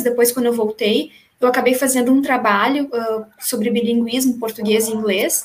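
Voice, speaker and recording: A woman's voice at a high pitch. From small town in Brazil. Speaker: teacher, former scholarship student. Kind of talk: casual interview.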